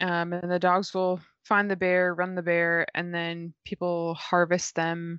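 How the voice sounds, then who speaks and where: Speaking at a fairly slow pace, a woman has a fairly low pitch. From Tennessee. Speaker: podcast co-host.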